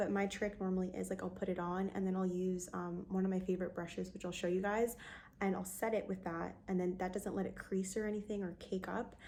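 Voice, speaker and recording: Soft-spoken, a woman talks at a fairly quick pace and a medium pitch. Her intonation is monotone and flat. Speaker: beauty vlogger. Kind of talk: casual talk to camera.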